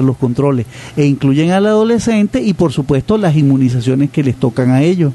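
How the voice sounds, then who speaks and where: Lively intonation rides over a moderate pace, with noticeable background noise behind the voice. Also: man. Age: 60s. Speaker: radio host and pediatrician. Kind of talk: radio interview.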